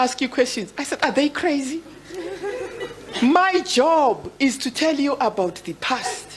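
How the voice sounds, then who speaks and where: A woman speaks at a high pitch with lively intonation. Noticeable background noise runs underneath. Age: 70s. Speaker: women's rights elder. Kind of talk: panel discussion.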